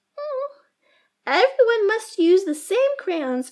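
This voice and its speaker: A woman's put-on character voice, squeaky and extremely high, with very wide pitch swings at a fairly slow pace. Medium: read story. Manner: stern, prim.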